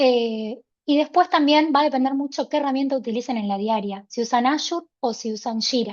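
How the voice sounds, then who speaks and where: A woman speaks in a high pitch with ordinary pitch variation and hardly any pauses. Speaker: workshop presenter. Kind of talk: online workshop presentation. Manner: fast.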